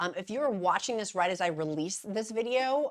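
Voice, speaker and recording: Lively in intonation, a woman speaks at a fairly quick pace. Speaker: YouTuber on weight-loss medication. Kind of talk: casual vlog commentary. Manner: fast.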